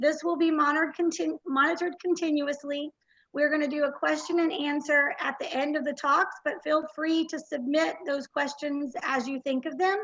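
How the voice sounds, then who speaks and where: With a Texan accent, a woman speaks in a high pitch at a moderate pace, with hardly any pauses. Her intonation stays fairly even. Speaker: conference host. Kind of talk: event welcome speech. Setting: virtual conference livestream.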